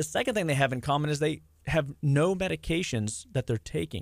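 The speaker's tone is animated and upbeat, with lively intonation and a fairly quick pace, on a very clean recording with a silent background. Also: man. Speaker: health and wellness doctor. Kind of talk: casual radio interview. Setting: radio studio. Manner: animated, upbeat.

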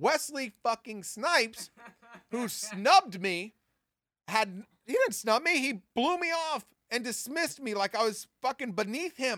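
In an animated, bright and sharp tone, a man with an extremely high pitch projects his raised voice at a moderate pace, with very wide pitch swings and big swings in loudness, in a dry, close sound with no echo. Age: 40s. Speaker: podcast host. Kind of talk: casual monologue.

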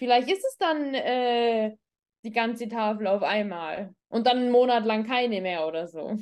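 An unremarkable speaking voice from a woman, fairly high-pitched and fairly slow, with lively intonation against a quiet background. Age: 30s. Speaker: doctor and psychologist. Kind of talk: casual interview chat.

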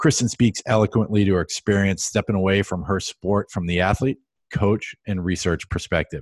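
Here a man talks in a plain, everyday voice with a fairly low pitch and ordinary pitch variation, at a moderate pace. The recording is dry and close, without any echo. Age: 40s. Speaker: podcast host. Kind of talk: casual interview; scripted intro.

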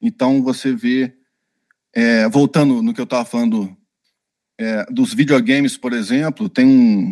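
A man with a medium pitch speaks at a fairly slow pace with lively intonation and long, frequent pauses. The sound is dry and close, with no echo. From Brazil, Minas Gerais / Rio de Janeiro. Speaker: UX designer and author. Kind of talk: interview.

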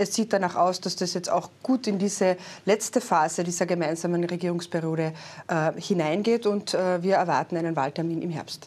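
A plain, everyday voice from a woman, fairly low-pitched, at a moderate pace with fairly even intonation. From Austria, Carinthia. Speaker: politician, party secretary general. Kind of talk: political interview. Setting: studio.

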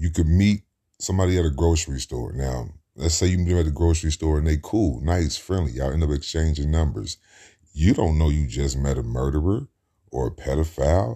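A man with an American accent, a very deep, low pitch, a somewhat breathy, dark, mellow tone, and a fairly quick pace. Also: ordinary pitch variation. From US Midwest, Cincinnati, Ohio. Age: 30s. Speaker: podcaster. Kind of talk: casual monologue.

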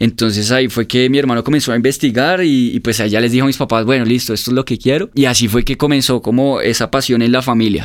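Delivering his words at a very fast pace with hardly any pauses, a man speaks at a medium pitch with very even loudness and fairly even intonation. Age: 20s. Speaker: motorcycle event organizer. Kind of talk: casual interview.

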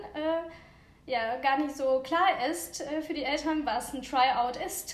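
Lively intonation from a woman, with audible room echo. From Ukraine. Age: 30s. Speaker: cheerleader parent. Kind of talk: casual interview.

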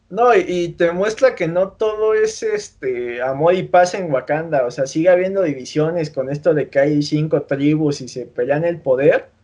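With a Mexican accent, a man speaks at a fairly high pitch and a fairly slow pace, his intonation lively and hardly any pauses breaking it up. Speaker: podcast host. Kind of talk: casual chat.

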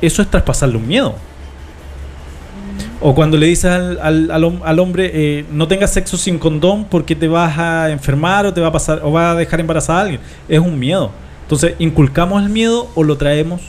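Amid noticeable background noise, a man's fairly high voice varies ordinarily in pitch at a moderate pace. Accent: Chilean. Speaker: radio host. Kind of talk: casual chat.

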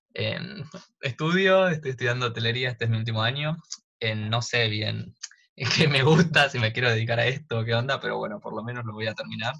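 A man speaks at a fairly quick pace in a medium pitch, his bright, sharp tone showing ordinary pitch variation. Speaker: podcast co-host, hospitality student. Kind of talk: casual chat. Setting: at home during quarantine. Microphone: audio problems.

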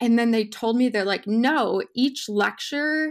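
The speaker has an Upper Midwest accent and ordinary pitch variation. The recording is very clean, with a silent background. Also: woman. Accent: Upper Midwest American. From Wisconsin, US. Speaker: food scientist, postdoc. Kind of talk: casual interview.

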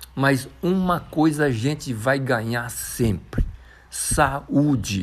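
With an animated tone and lively intonation, a man talks at a medium pitch. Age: 60s. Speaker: mountain bike athlete. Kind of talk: interview.

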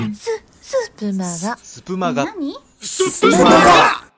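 A put-on character voice, female-sounding, with a medium pitch for a woman and a fairly slow pace. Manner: imitating a parrot.

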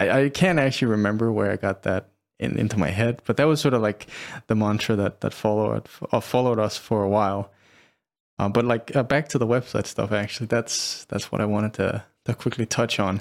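This man has a fairly low pitch and a plain, everyday voice, talking at a fairly quick pace. His pitch varies in an ordinary way while his loudness stays very even. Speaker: podcast host and company co-founder. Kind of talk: casual conversational podcast chat.

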